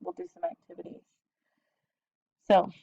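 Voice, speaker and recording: Dry and close with no echo, a woman's fairly high voice carries a dark, mellow tone. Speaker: biology teacher. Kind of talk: lecture. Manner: fast.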